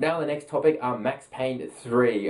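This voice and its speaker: A man speaks with an Australian accent and fairly even intonation. Noticeable background noise runs underneath. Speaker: gaming news presenter. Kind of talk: casual news roundup.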